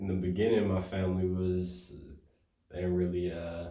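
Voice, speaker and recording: A man speaks at a moderate pace with a very deep, low pitch and a dark, mellow tone. His voice is somewhat breathy, and room echo is audible. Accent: American. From Detroit, US. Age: young. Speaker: rapper. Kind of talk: interview. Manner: halting.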